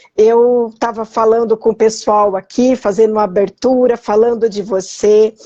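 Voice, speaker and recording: Her voice has a dark, mellow tone and a fairly high pitch, with monotone, flat intonation. The woman keeps a moderate pace with hardly any pauses. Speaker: citizenship consultant. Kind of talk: live interview. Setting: online live stream.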